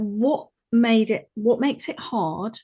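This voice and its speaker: Against a quiet background, a woman speaks with a dark, mellow tone. Her voice is somewhat breathy. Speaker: podcast host, coach. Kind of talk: podcast interview questions.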